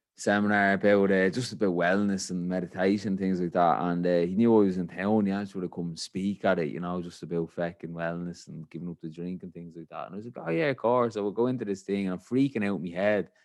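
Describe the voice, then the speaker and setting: Very fast speech with big swings in loudness over a quiet background. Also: man, very deep, low pitch for a man. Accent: Irish. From Ireland. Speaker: podcast host. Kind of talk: casual chat. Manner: animated.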